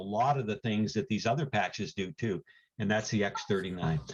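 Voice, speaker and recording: This man's delivery is fairly quick. There's a somewhat breathy quality to his voice. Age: 70s. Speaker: health product presenter. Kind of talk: sales pitch. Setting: video call.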